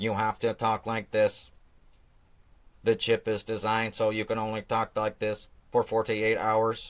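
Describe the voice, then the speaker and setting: A man uses a put-on, robotic character voice at a medium pitch. He talks at a moderate pace with long, frequent pauses. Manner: flat, mechanical.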